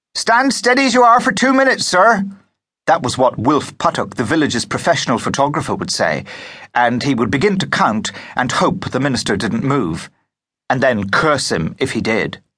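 Using very wide pitch swings, a man talks at a fairly high pitch in a bright, sharp tone with vocal fry. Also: moderate pace. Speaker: audiobook narrator. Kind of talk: audiobook narration. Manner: steady, measured storytelling pace; expressive, vivid period-story reading.

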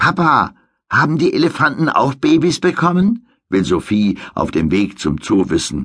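Using vocal fry, a man speaks at a fairly slow pace in a fairly high pitch that swings very widely. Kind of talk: audiobook narration of a children's story, bedtime-story style. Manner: measured, clear storytelling pace for young children.

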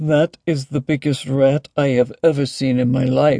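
A man talks at a moderate pace in a put-on character voice. His pitch sits in the medium range. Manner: amazed.

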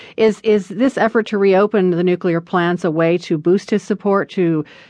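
A woman's ordinary speaking voice at a fairly low pitch and a moderate pace. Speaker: radio news host. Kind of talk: radio news reading, scripted headlines and intro. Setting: studio. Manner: crisp, formal, measured broadcast delivery.

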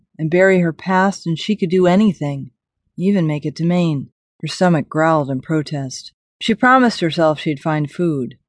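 With an unremarkable speaking voice, a woman talks at a moderate pace in a fairly low pitch with ordinary variation, the sound dry and close with no echo over a quiet background. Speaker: audiobook narrator. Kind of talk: dramatic audiobook narration of post-apocalyptic fiction, read aloud. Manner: tense, suspenseful, gravely expressive.

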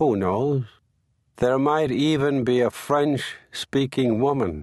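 Here a man with an American accent speaks at a medium pitch and a very slow pace. His pitch varies in an ordinary way against a quiet background. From Ireland, Limerick. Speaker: memoir author narrating his own audiobook. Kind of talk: literary memoir audiobook reading, present-tense first-person storytelling. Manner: measured, wry storytelling with dry comic timing; unhurried, conversational narration with short punchy sentences.

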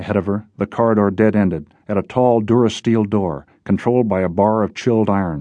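A natural voice reads aloud. Its intonation is fairly even.

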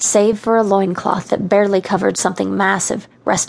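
A passage is read out. It is plain reading aloud.

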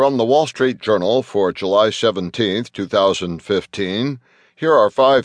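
Over a quiet background, a man with a normal speaking voice talks fairly slowly with ordinary pitch variation, the sound dry and close with no echo. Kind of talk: news reading. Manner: formal, even and businesslike, headline-style delivery; brisk, steady, neutral pace.

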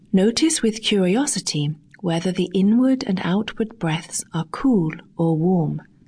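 This is an ordinary speaking voice. The intonation is lively and the pace fairly slow. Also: woman, medium pitch for a woman. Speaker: audiobook narrator. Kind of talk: guided meditation. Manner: slow, calm, soothing; gentle, measured, with pauses.

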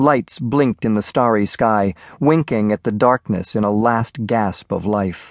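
Against a quiet background, a man with a normal speaking voice talks at a fairly slow pace and a medium pitch with ordinary variation, in a dry, close sound with no echo. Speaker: audiobook narrator. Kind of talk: dramatic audiobook narration of a shipwreck scene. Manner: intense, building suspense through vivid disaster imagery; measured, grave storytelling pace.

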